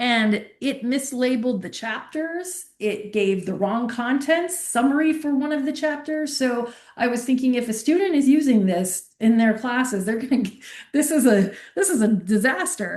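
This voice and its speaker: In a room with audible echo, a woman speaks at a moderate pace and fairly high pitch with lively intonation. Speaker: university librarian. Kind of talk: workshop lecture.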